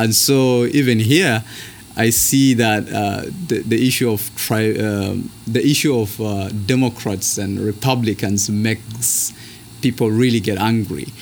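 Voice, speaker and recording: A man's medium-pitched voice with a Kenyan accent, fairly slow pace and fairly even intonation, over noticeable background noise. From northern Kenya. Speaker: seminary student. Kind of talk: interview conversation.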